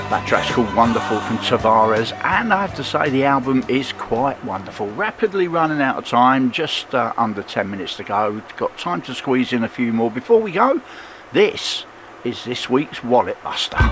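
Noticeable background noise sits behind a man speaking at a moderate pace. His pitch is medium and his intonation lively. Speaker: radio DJ. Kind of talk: radio show presenting, station announcer style. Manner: relaxed, friendly, conversational.

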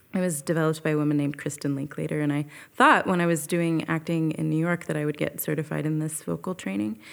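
A woman with a West Coast accent, very deep and low in pitch, at a very fast pace with ordinary pitch variation, on a very clean recording with a silent background. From Northern California (Petaluma). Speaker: jazz singer and voice teacher. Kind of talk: casual interview.

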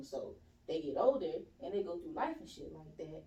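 In an American accent, the voice moves at a fairly quick pace with very wide pitch swings, amid noticeable background noise and audible room echo. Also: woman. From US South, East Point, Georgia. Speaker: podcast guest. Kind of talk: casual chat.

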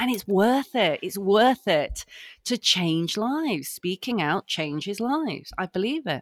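A woman with a medium pitch speaks slowly in an animated tone, her pitch swinging very widely. The recording is very clean with a silent background, and the sound is dry and close, with no echo. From northern England, Harrogate, Yorkshire. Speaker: company founder and CEO. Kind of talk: casual interview chat.

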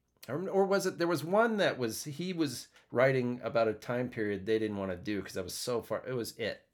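A man talks at a moderate pace and a medium pitch, in an American accent. His pitch swings very widely, and the recording is very clean with a silent background. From US, western Pennsylvania. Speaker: podcast host and performer. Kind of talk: casual chat. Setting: home studio.

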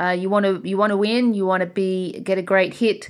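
On a very clean recording with a silent background, a woman with an Australian accent talks at a fairly quick pace, medium in pitch and with fairly even intonation. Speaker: jouster and school teacher. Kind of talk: interview.

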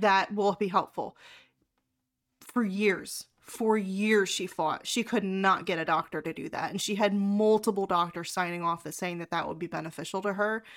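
A woman speaks at a moderate pace in a plain, everyday voice, medium in pitch with fairly even intonation. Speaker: podcast host and sex coach. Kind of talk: casual chat. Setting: video call.

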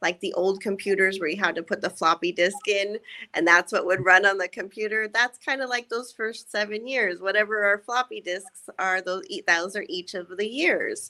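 The woman's voice sits at medium pitch with a bright, sharp tone, moving at a moderate pace in a very clean recording with a silent background. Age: 40s. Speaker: energy psychologist. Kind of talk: interview.

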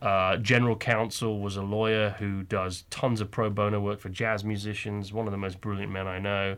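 Over a quiet background, a man with a fairly low pitch speaks at a moderate pace in a monotone, flat delivery with hardly any pauses. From England. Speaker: entrepreneur. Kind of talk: casual interview chat. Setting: studio.

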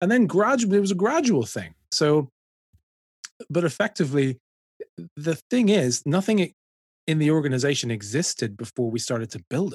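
A man with a Dublin accent speaks at a moderate pace in a fairly high voice, his pitch swinging very widely. The sound is dry and close with no echo, and he leaves long, frequent pauses. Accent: Dublin Irish. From Ireland, Dublin. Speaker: ministry director. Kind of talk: interview.

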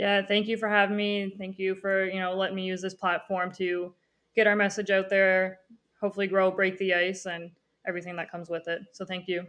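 A woman at a fairly quick pace, in a Newfoundland accent, with monotone, flat intonation over a quiet background. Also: medium pitch for a woman. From Newfoundland, Conception Bay South. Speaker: former student athlete and hockey coach. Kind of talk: interview, casual chat.

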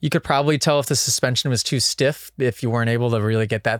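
A very fast-talking man at a medium pitch, with ordinary pitch variation. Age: 30s. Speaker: podcast host and pro motocross racer. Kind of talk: casual podcast monologue with listener Q&A. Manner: animated, talkative, conversational.

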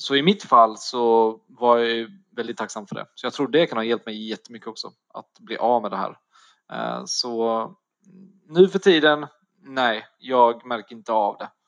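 In a dry, close sound with no echo, a man with a plain, everyday voice speaks at a medium pitch with ordinary pitch variation and big swings in loudness. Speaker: personal trainer sharing eating disorder story. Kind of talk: interview, personal testimony. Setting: online call.

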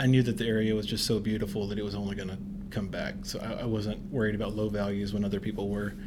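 A man with an American accent speaks in a monotone, flat intonation at a fairly low pitch. Audible room echo surrounds his voice. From US South, northwest Tennessee. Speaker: realtor and real estate investor. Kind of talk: casual interview.

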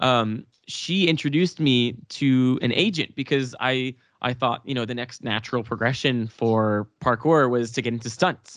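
A man with a Canadian accent at a moderate pace, ordinary pitch variation, and a quiet background. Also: medium pitch for a man. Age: 20s. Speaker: parkour athlete and actor. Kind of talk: casual chat. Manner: halting, many repeated words.

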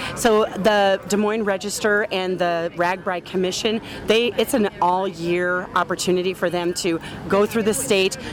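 Someone with a Midwestern American accent speaks at a moderate pace with fairly even intonation over noticeable background noise. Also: woman, medium pitch for a woman. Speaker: community foundation representative. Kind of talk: interview.

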